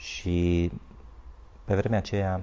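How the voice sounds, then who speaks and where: A man speaks with vocal fry. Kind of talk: interview.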